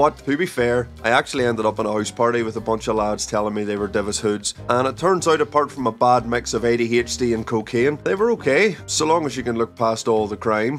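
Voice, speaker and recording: Speaking at a fairly quick pace with hardly any pauses, a man with a Northern Irish accent uses ordinary pitch variation while faint music plays in the background. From Northern Ireland. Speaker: former nightclub bouncer. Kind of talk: comedic anecdote storytelling to camera.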